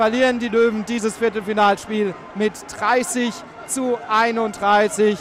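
With noticeable background noise behind him, a man speaks at a high pitch. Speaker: handball reporter. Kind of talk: live sports commentary. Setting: sports arena.

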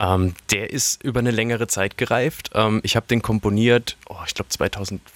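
A man with an ordinary speaking voice talks at a moderate pace, with hardly any pauses and fairly even intonation. The sound is dry and close, with no echo. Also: medium pitch for a man. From Karlsruhe, Baden, Germany. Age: 30s. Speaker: singer-songwriter. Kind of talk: interview.

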